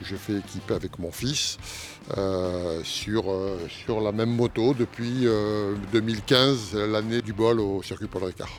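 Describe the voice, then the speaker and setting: Music plays behind a man with a fairly low pitch. He talks at a very slow pace with fairly even intonation. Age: 60s. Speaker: amateur motorcycle racer. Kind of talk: interview. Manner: hesitant, many fillers.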